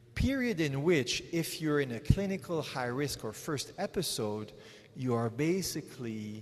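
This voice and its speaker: Audible room echo surrounds a man whose fairly high voice moves slowly with lively intonation. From Switzerland. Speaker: psychologist. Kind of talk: conference talk. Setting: stage with audience. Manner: halting.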